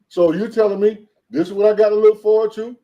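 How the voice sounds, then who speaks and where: Fairly quick in pace, a man speaks with a high pitch and a dark, mellow tone. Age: 60s. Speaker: professor. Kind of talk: casual chat.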